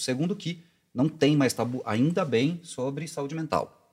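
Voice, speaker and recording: Somewhat breathy, the man's fairly high voice has ordinary pitch variation. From interior of São Paulo state, Brazil. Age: 40s. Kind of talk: casual interview.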